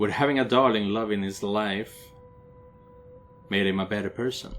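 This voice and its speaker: Over music in the background, a man speaks at a moderate pace in a fairly low pitch, his intonation fairly even. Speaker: gaming video creator playing a visual novel. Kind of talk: reading aloud; casual commentary. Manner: stumbling, self-correcting.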